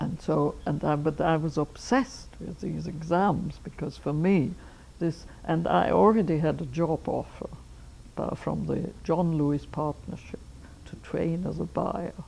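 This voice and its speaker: A woman speaks with an Austrian accent. Her pace is fairly slow. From Austria, Vienna. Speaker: anthropologist. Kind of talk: life history interview. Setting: filmed interview.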